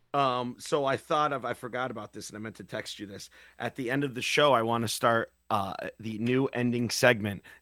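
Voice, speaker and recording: A man with a plain, everyday voice talks at a fairly quick pace and medium pitch, his intonation fairly even but his loudness swinging widely. The sound is dry and close, with no echo. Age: 40s. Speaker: podcast host. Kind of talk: casual chat. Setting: video call.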